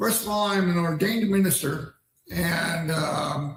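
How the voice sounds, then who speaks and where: With audible room echo, a man in an American accent speaks at a fairly slow pace, high pitch and ordinary pitch variation. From Pennsylvania, US. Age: 60s. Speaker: ordained minister and streamer. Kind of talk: livestream monologue. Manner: halting, many fillers.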